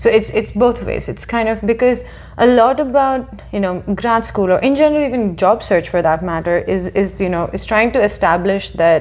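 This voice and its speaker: Over noticeable background noise, a woman talks at a moderate pace with a fairly high pitch and lively intonation. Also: hardly any pauses. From India. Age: 20s. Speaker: PhD graduate in biomedical engineering. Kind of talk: interview. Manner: hesitant, many fillers.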